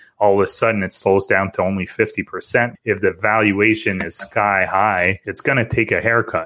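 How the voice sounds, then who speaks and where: In a plain, everyday voice, a man talks at a moderate pace with fairly low pitch and fairly even intonation. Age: 30s. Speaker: investing podcast host. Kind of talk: casual chat.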